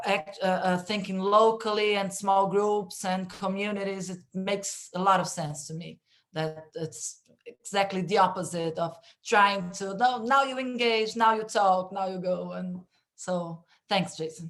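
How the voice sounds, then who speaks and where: A woman with a Brazilian Portuguese accent speaks at a medium pitch and a fairly slow pace. Her intonation is fairly even, while her loudness swings widely. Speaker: panel moderator. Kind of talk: online panel discussion. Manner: halting, many fillers.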